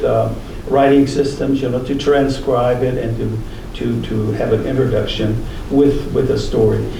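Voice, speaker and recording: Audible room echo and noticeable background noise accompany a man who talks at a moderate pace with an American accent. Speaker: translator and author. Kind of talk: lecture Q&A. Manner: halting.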